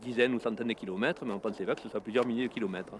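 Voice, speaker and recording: A man with a southern French accent speaks at medium pitch with fairly even intonation. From southern France. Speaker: biologist. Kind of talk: interview. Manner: halting.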